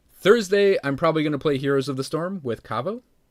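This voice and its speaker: A man speaks with a Midwestern accent. His pace is moderate. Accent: flat Midwestern. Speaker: video game streamer. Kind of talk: casual livestream chat. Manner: casual, halting with fillers.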